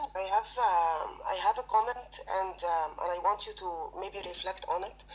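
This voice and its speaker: A woman speaks at a moderate pace. Noticeable background noise runs through the clip. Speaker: HR recruiter and personal branding trainer. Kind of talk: audience comment in live audio session. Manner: halting, many fillers.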